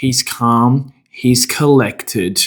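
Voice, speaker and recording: The delivery is very slow, with an Australian accent. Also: man. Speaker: men's coach. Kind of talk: motivational talk. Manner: casual, conversational.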